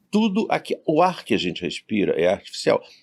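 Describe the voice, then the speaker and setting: On a very clean recording with a silent background, a man with vocal fry speaks with very wide pitch swings. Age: 70s. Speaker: university professor. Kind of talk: podcast interview.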